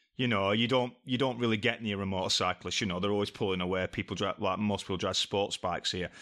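With an English accent, a man speaks very fast with hardly any pauses, in a bright, sharp tone at a fairly low pitch and fairly even intonation, on a very clean recording with a silent background. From England. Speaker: podcast guest, travel companion. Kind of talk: casual chat.

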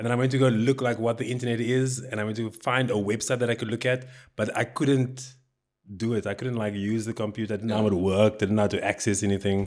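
In a South African accent, the speaker rushes at a very fast pace with monotone, flat intonation on a very clean recording with a silent background. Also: man, medium pitch for a man. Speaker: comedian. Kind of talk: casual chat. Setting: recording at his home.

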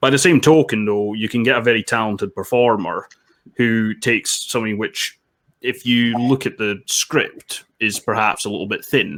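Here a man talks in a Scottish accent. His pitch is medium, with ordinary pitch variation. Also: moderate pace. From Scotland, Dundee. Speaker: film critic. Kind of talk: casual chat.

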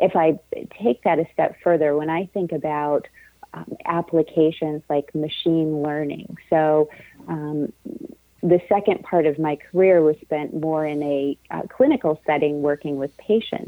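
A woman speaks in a dark, mellow tone at a very deep, low pitch, her intonation fairly even, in a dry, close recording with no echo. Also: fairly slow pace. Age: 40s. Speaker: neuroscientist. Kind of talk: interview. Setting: radio show.

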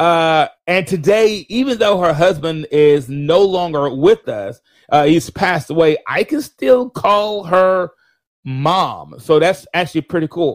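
This man's voice is high in pitch, and he speaks fairly slowly. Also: lively intonation. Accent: Southern US. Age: 50s. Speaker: podcast host. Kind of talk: casual livestream monologue. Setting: live stream.

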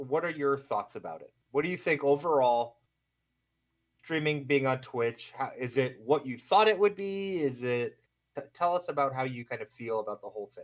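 A man with a plain, everyday voice talks at a moderate pace and fairly high pitch, his intonation lively. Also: big swings in loudness. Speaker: podcast co-host and streamer. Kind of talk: casual chat.

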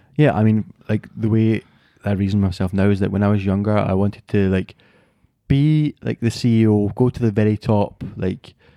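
With a Glasgow accent, a man speaks at a moderate pace in a dark, mellow tone, his fairly low pitch showing ordinary variation, and the sound is dry and close with no echo. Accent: Scottish (Glasgow). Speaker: podcast co-host. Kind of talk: casual chat.

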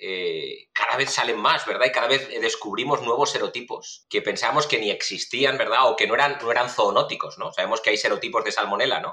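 This man talks at a fairly quick pace with a Spanish accent. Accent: Spanish (Spain). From Spain, Valencia. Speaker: food safety researcher. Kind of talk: interview. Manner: repetitive stammering fillers.

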